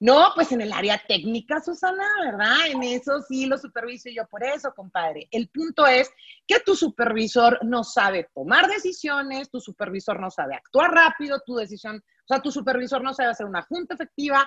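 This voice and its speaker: A woman with a northern Mexican accent talks with hardly any pauses, her high voice bright and sharp. Her pitch swings very widely, her loudness jumps a lot, and the sound is dry and close with no echo. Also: moderate pace. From northern Mexico, Monterrey. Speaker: business coach. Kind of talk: casual interview.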